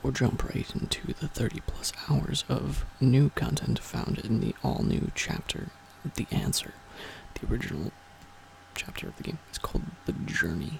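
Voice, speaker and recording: A soft-spoken voice whispers at a moderate pace. Noticeable background noise is present. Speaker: ASMR channel host. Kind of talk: casual talk to camera, game manual reading. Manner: whispered, soft-spoken.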